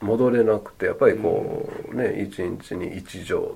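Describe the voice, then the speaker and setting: Through noticeable background noise, a man speaks in a relaxed tone. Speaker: meditation instructor. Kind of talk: casual chat. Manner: relaxed, slow.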